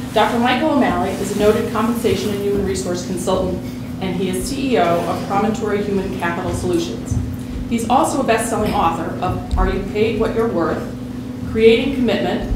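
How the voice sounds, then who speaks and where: Her pace is fairly quick. Room echo is audible, and background noise is noticeable. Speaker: event host introducing a speaker. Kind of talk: formal introduction speech. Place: hall.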